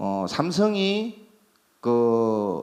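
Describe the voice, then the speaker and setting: There's audible room echo around this man speaking with a Busan accent. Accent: Busan dialect (Gyeongsang). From South Korea, Busan. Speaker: company CEO, medical tourism agency. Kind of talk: conference presentation. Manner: hesitant, many fillers.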